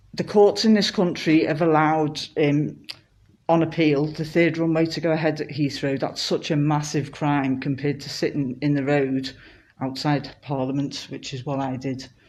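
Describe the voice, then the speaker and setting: A woman speaks at a moderate pace with a very deep, low pitch and fairly even intonation. Room echo is audible around her voice. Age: 50s. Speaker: climate activist. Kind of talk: protest statement in court, live stream. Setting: courtroom, self-recorded live stream.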